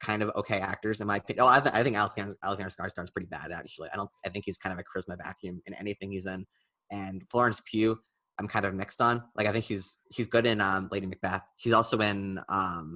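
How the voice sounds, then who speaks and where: A man's fairly low, bright, sharp voice at a very fast pace, with fairly even intonation and a dry, close sound with no echo. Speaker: film podcast co-host. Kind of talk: casual chat. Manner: hesitant, many fillers.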